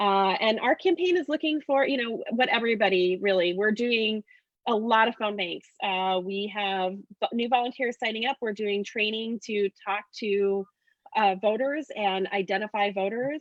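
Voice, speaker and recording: At a moderate pace, a woman with a fairly high pitch and ordinary pitch variation talks in a normal speaking voice. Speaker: political candidate, teacher. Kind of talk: casual chat. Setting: video call.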